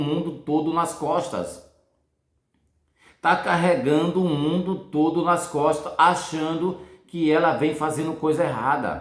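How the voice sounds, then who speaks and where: Audible room echo surrounds a man speaking at a fairly slow pace. His intonation stays fairly even. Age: 50s. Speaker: financial educator, former truck driver. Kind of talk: casual motivational talk. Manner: halting, repetitive.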